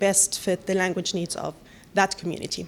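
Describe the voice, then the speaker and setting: A woman's medium-pitched voice with an Arabic accent. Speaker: panelist from a newcomer support organization. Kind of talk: panel presentation.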